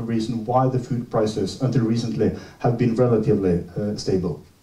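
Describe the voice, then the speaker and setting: There is noticeable noise behind this man's voice. He talks at a fairly quick pace. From Norway. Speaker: seminar speaker on water and dams. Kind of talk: seminar presentation. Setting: seminar with audience. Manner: halting, many fillers.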